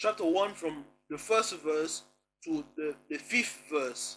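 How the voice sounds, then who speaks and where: Over music in the background, a man with a Congolese accent speaks at a very slow pace in a high pitch. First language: Kongo. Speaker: religious commentator. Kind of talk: online lecture. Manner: halting, repetitive.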